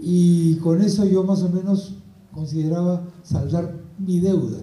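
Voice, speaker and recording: A man talks in a high pitch, and the room echo is audible. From Peru (Lima), arrived from Spain aged four. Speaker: journalist. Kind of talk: book presentation talk.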